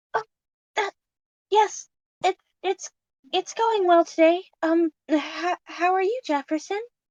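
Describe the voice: A squeaky, female-sounding put-on character voice, extremely high in pitch, moves at a fairly slow pace with long, frequent pauses.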